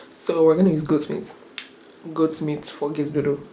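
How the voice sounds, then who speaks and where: A woman speaks at a very fast pace with a very deep, low pitch. Audible room echo and noticeable background noise fill the recording. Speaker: vlogger. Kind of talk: casual vlog talk.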